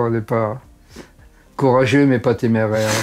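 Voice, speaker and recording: Speaking at medium pitch and a moderate pace, a man keeps a monotone, flat intonation. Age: 80s+. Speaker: doctor. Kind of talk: interview answer.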